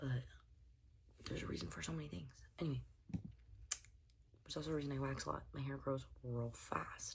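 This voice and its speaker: With an American accent, a woman talks at a moderate pace, leaving long, frequent pauses, amid audible room echo. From Southern California, San Diego. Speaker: beauty vlogger. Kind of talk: casual chat. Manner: rambling, animated.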